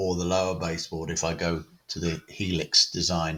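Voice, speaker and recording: A man speaks at a fairly slow pace in a British accent, his pitch very deep and low. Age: 60s. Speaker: model railway hobbyist. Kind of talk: home tour and project talk. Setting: railway room at home. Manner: hesitant, many fillers.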